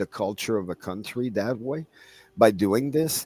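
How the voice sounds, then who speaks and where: A man with a normal speaking voice, medium pitch, and lively intonation, in a dry, close sound with no echo. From Canada. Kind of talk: casual chat.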